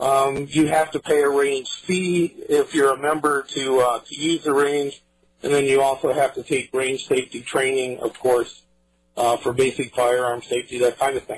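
With music in the background, a man speaks at a fairly high pitch and a moderate pace in an American accent, his intonation fairly even. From US Midwest, Iowa. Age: 60s. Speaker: firearms instructor. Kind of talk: interview.

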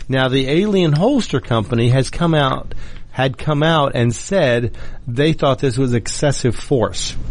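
Medium-pitched male delivery, fairly slow in tempo and ordinary in pitch movement, an ordinary speaking voice. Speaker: radio host. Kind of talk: radio host patter. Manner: conversational, opinionated, rambling.

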